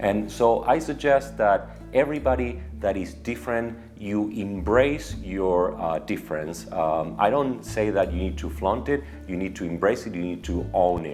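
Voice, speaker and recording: A man speaks at a moderate pace with hardly any pauses, his very deep, low voice making very wide pitch swings over music in the background. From Argentina. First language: Spanish. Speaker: media executive. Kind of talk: personal story to camera.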